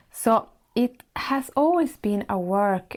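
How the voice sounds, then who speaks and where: In a Swedish accent, a woman speaks very slowly at a fairly high pitch. Her tone is dark, mellow and warm. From Sweden. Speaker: podcast host and life coach. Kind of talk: monologue podcast.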